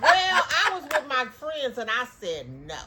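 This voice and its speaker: A woman speaks in an animated tone with very wide pitch swings. Noticeable background noise is present. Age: 60s. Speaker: podcast co-host. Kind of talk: casual chat.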